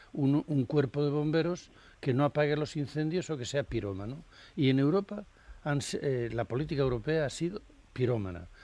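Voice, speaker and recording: With a dark, mellow tone and lively intonation, a man talks in a fairly high voice. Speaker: cartoonist. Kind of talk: casual chat.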